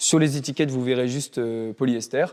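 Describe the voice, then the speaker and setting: Fairly slow, ordinary in pitch movement, a man's voice of dark, mellow tone. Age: 20s. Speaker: PhD student and chemical engineer. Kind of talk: interview. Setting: school library. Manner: hesitant, many filler sounds.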